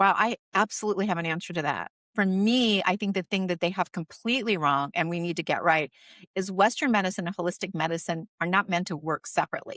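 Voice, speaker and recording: A woman at a medium pitch talking at a very fast pace with ordinary pitch variation, in a very clean recording with a silent background and a dry, close sound with no echo. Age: 60s. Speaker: magazine publisher and podcast host. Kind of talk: interview conversation. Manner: animated.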